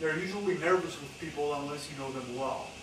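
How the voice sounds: With audible room echo and clear background noise, a man talks at a fairly quick pace, his pitch fairly high and its variation ordinary.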